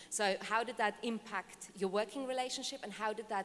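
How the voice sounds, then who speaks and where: With a non-native accent, a woman speaks fairly quickly at a fairly high pitch, with ordinary pitch variation and noticeable background noise. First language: not English. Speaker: audience member asking a question. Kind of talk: conference Q&A question. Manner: halting, many fillers.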